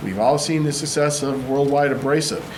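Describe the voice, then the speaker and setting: Talking at a moderate pace and medium pitch, a man is heard with audible room echo and noticeable background noise. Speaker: city council member. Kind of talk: council meeting debate. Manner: halting.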